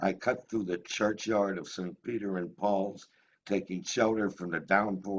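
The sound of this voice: Fairly level intonation in an unforced reading voice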